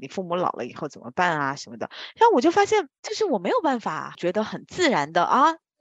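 Recorded with a dry, close sound and no echo, a woman talks at a fairly quick pace, her pitch swinging very widely. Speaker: strategy consultant, podcast co-host. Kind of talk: casual chat.

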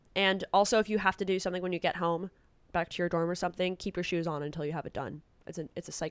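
A woman with a fairly low pitch and an animated tone at a very fast pace, dry and close with no echo, on a very clean recording with a silent background. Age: 20s. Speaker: student staff writer, interviewer. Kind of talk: casual chat, advice conversation. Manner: animated, chatty.

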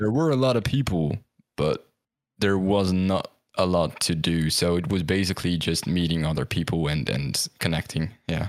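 A man with a Dutch accent, a very deep, low pitch, ordinary pitch variation, very even loudness and a moderate pace. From Netherlands. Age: young. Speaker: esports caster and streamer. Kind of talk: casual chat. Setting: video call.

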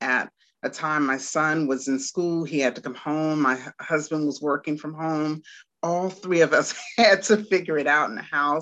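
Over a quiet background, a woman talks at a fairly slow pace with an American accent. Her voice is very deep and low in pitch. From Washington, D.C. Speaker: Montessori teacher. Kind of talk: interview. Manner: hesitant, many fillers.

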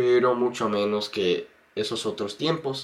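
A man speaks with an English accent. His pace is very slow. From United States. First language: English (speaking Spanish). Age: 20s. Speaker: YouTuber and Spanish learner. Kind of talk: interview. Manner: halting, many fillers and repeats.

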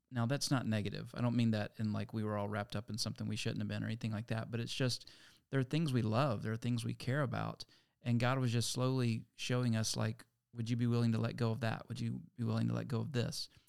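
A man with an American accent speaks at a very fast pace. The recording is very clean, with a silent background. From Virginia, US. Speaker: pastor. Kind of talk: casual interview.

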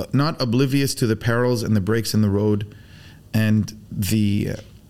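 The speaker is a man with a fairly low pitch. He talks at a moderate pace. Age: 40s. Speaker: BBQ pitmaster. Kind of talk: casual chat. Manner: animated.

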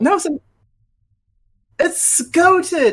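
A man's extremely high voice swings very widely in pitch. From New Zealand, living in Australia. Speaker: podcast co-host.

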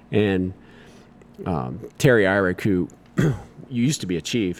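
A man is speaking. He has an American accent. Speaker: firefighter. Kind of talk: casual interview.

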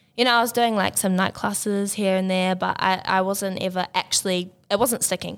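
A woman with a New Zealand accent at a fairly quick pace, medium in pitch, with monotone, flat intonation and very even loudness on a very clean recording with a silent background. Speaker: recent university graduate, Māori language student. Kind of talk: casual interview.

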